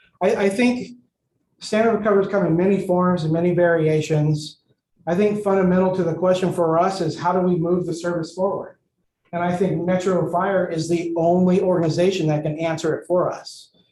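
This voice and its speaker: Amid audible room echo, a man with a high pitch and a dark, mellow tone speaks at a fairly quick pace in a monotone, flat way. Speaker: fire department staff presenter. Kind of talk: board meeting report. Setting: board meeting, in person and video call.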